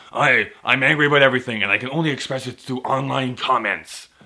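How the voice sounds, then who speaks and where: At a very fast pace, a man puts on a character voice with a medium pitch. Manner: angry, whiny.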